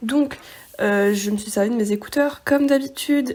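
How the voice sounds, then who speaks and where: A woman speaks at a moderate pace. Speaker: sewing vlogger. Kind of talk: tutorial vlog narration. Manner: monotone; hesitant, many fillers.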